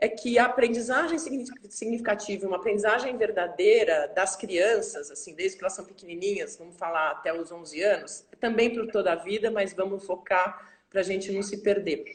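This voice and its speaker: With noticeable background noise behind her, a woman of medium pitch speaks at a moderate pace, with ordinary pitch variation and big swings in loudness. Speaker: school director. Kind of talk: interview. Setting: video call. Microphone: poor signal reported by viewers.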